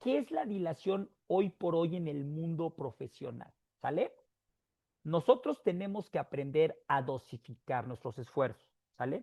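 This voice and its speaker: In a very clean recording with a silent background and a dry, close sound with no echo, a man with a fairly high pitch and a dark, mellow tone speaks at a fairly slow pace with lively intonation. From Mexico. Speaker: motivational speaker. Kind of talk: talk to an audience.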